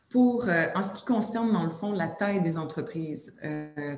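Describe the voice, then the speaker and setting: A woman speaks at a fairly slow pace with ordinary pitch variation, over noticeable background noise and with audible room echo. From Quebec. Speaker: sector workforce committee director. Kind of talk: webinar presentation. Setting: video webinar.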